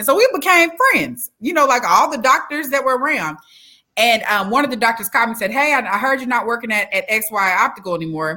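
With an American accent, a woman talks at a very fast pace in a high pitch, her bright, sharp tone marked by very wide pitch swings. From Texas (Dallas), parents from Alabama and Louisiana. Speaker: mayoral candidate and former prisoner, speaker. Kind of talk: interview, telling life story. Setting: online live stream interview.

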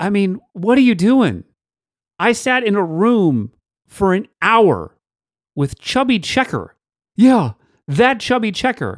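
Speaking very slowly with long, frequent pauses, a high-pitched man with an American accent is heard on a very clean recording with a silent background and a dry, close sound free of echo. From Virginia, Richmond. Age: 40s. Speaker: podcast host, former radio DJ. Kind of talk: personal monologue narration; casual interview chat.

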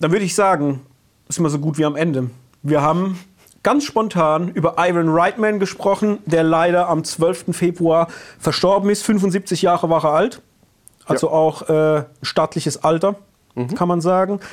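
Ordinary pitch variation runs through a man's high-pitched voice. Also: moderate pace. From Palatinate, Germany. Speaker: podcast co-host. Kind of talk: casual chat.

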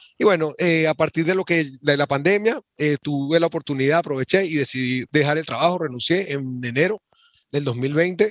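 In an ordinary speaking voice, a man talks at a moderate pace and fairly high pitch with ordinary pitch variation, the sound dry and close with no echo. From Venezuela. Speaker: e-commerce entrepreneur. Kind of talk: podcast interview.

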